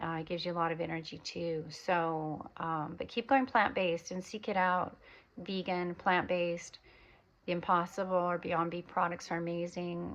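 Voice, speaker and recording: A woman with an American accent speaks at a moderate pace. She has a normal speaking voice, fairly low in pitch. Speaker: spiritual wellness vlogger. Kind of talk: casual monologue. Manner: rambling with many fillers.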